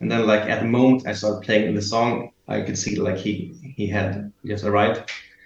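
Speaking fairly slowly, a man with a Swedish accent has a fairly low pitch and a somewhat breathy sound. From Sweden. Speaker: concertgoer, music fan. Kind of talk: casual chat. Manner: halting.

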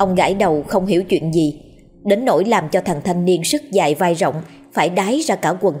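This is a natural voice reading aloud, with ordinary pitch variation.

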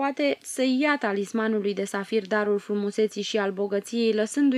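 Reading aloud, plainly done, pitch varying in an ordinary way

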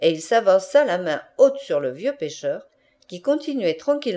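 A natural reading voice carries the whole clip.

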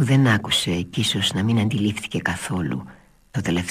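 A natural reading voice carries the words.

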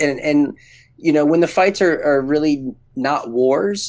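On a very clean recording with a silent background, a man with a normal speaking voice talks fairly slowly, his fairly high pitch carrying lively intonation. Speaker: MMA analyst co-host. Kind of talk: casual banter.

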